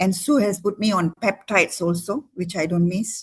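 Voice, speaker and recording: This is a woman with a somewhat breathy voice. Her pitch varies in an ordinary way. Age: 60s. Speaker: doctor giving a product testimony. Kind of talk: testimony. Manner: animated.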